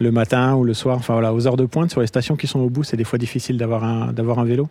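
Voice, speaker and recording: Here a man speaks very fast at a medium pitch. His intonation stays fairly even. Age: 30s. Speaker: app user, commuter. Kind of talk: street interview.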